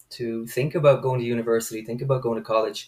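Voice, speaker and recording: Here a man speaks with an Irish accent. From Ireland, rural Roscommon (Midlands). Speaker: photographer and educator. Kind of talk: interview. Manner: hesitant, many fillers.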